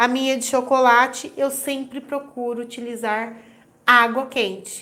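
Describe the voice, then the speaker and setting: A woman with a high-pitched voice speaks at a very slow pace, her intonation fairly even. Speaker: baking instructor. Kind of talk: live stream tutorial.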